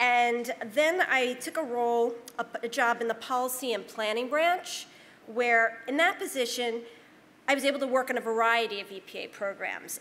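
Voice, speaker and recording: A woman talks at a moderate pace in a high pitch. Her voice shows ordinary pitch variation. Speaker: environmental author and former government official; presenter. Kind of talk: panel talk with slides. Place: meeting room. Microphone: podium.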